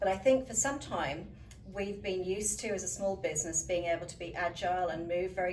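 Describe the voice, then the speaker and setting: A fairly low-pitched woman with a British accent at a fairly quick pace, with noticeable background noise and audible room echo. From UK. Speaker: leadership coach and professional speaker. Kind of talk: interview.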